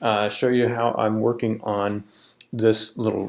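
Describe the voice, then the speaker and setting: A man talks in an ordinary speaking voice at a medium pitch. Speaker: architectural designer and software tutor. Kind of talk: tutorial. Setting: working remotely while traveling. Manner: casual with frequent fillers.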